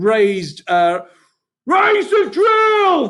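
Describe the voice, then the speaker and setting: A man's put-on character voice, extremely high in pitch, with very wide pitch swings. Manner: angry, booming.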